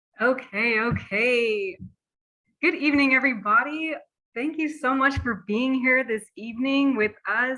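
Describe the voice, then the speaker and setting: Speaking at a fairly slow pace in an American accent, a woman uses a raised, projected voice that is high-pitched, bright and sharp, with ordinary pitch variation. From Dallas, Texas. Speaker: webinar speaker. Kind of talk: webinar talk. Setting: online webinar call. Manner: warm, enthusiastic.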